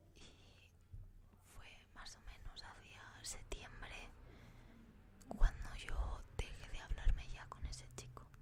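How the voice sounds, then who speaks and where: Whispering at a very slow pace, a woman uses a relaxed tone with long, frequent pauses and big swings in loudness. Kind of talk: casual ASMR storytelling to camera. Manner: soft-spoken, relaxed.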